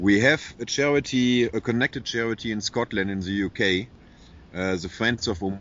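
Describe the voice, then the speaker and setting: Speaking with a German accent, a man uses a fairly low pitch, a moderate pace and ordinary pitch variation. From Germany. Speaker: animal shelter founder. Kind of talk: interview.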